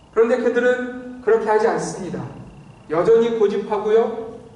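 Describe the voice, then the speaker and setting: A man talks at a fairly quick pace, his pitch high for a man. Audible room echo and noticeable background noise fill the recording. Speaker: pastor. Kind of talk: sermon.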